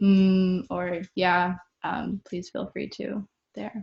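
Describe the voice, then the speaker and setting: In a General American accent, a woman speaks at a medium pitch, somewhat breathy, with a dry, close sound and no echo. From Arizona, Cave Creek near Phoenix. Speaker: artist and tech worker leading a workshop. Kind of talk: casual webinar talk. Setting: video call webinar. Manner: hesitant, many fillers.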